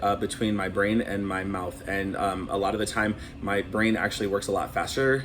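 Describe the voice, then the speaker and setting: Moderate pace from a man with an American accent, noticeable background noise behind him. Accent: Minnesotan accent, comes out at times. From Minnesota, Saint Paul (Twin Cities). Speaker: cruise director. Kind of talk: casual interview. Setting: on a cruise ship.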